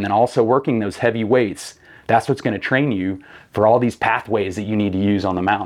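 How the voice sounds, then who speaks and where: A man speaks in a normal speaking voice, fairly low in pitch. His pitch variation is ordinary, and the background is quiet. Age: 30s. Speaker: fitness coach and hunter, former navy rescue swimmer. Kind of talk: casual chat. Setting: studio.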